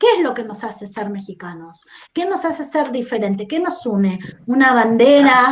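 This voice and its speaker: A woman's high-pitched voice with a non-native accent, very wide pitch swings, and a moderate pace. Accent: foreign Spanish accent, noticeable. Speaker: historian. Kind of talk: podcast interview discussion. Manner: reflective, many rhetorical questions.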